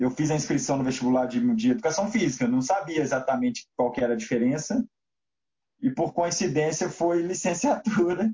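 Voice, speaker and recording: At a fairly quick pace, a man with a fairly high pitch makes very wide pitch swings. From Minas Gerais, Brazil (Belo Horizonte). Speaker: basketball coach. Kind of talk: interview.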